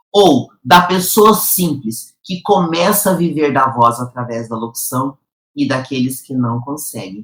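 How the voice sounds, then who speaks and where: Very slowly, a woman speaks in a very deep, low pitch that makes very wide swings. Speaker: professional announcer and voice coach. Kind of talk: educational talk to camera. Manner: clear, didactic, engaging.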